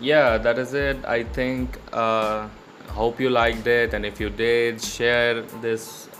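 Music plays behind a man talking at a very slow pace, with audible echo from the room. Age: 20s. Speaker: podcast host, fine arts student. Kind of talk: casual monologue.

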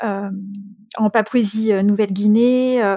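The woman's fairly high voice has fairly even intonation and a dry, close sound with no echo. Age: 40s. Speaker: thanatologist and medium. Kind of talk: casual chat.

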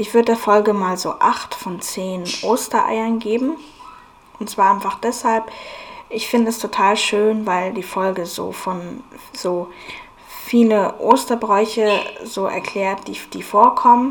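A woman speaks at a very slow pace and a fairly high pitch, with fairly even intonation and big swings in loudness. Long, frequent pauses break up her speech over noticeable background noise. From Bavaria, Germany (Munich from age seven). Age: 20s. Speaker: podcast host. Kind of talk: casual podcast monologue. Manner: hesitant, many fillers.

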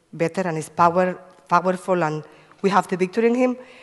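A woman at a medium pitch, with fairly even intonation and a fairly quick pace. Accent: Spanish. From Cuba. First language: Spanish. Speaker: evangelist. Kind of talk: testimony. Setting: church.

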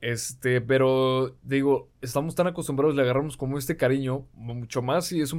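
A man with a medium pitch speaks in a Mexican accent. His intonation stays fairly even. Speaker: podcast guest. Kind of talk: casual chat.

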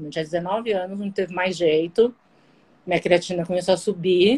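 With a plain, everyday voice, a woman speaks at a moderate pace with ordinary pitch variation. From Guarujá, São Paulo coast, Brazil. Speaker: kidney transplant patient. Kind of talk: casual interview on a live stream. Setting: live video stream.

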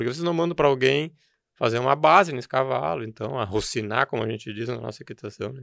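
A man has a plain, everyday voice at a medium pitch, with lively intonation. He talks at a fairly quick pace against a quiet background. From southern Brazil, Rio Grande do Sul (Novo Hamburgo). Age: 50s. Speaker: rural producer and horse show judge coordinator. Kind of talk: interview conversation.

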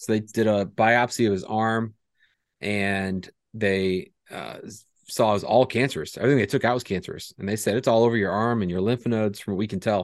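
A man with a normal speaking voice and fairly low pitch talks at a fairly quick pace with fairly even intonation against a quiet background. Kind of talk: casual chat.

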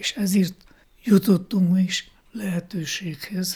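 A man with a high pitch, a dark, mellow tone, fairly even intonation and a very slow pace. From Slovakia (Hungarian minority). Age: 80s+. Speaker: ethnographer and choreographer. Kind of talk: interview. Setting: at home.

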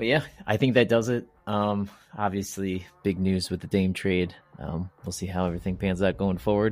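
A man's fairly low voice over background music. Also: ordinary pitch variation, moderate pace. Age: 40s. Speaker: basketball podcast host. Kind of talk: casual chat. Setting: remote recording.

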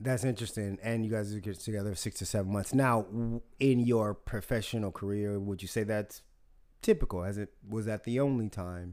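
A man's fairly low, fairly even voice at a fairly quick pace, a plain, everyday voice with an American accent in a very clean recording with a silent background. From US South. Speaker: podcast host. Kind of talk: casual chat.

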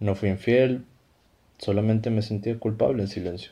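At a moderate pace, a man talks in a fairly low pitch with a dark, mellow tone. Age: 30s. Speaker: illustrator and podcast creator. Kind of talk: scripted comedy dialogue.

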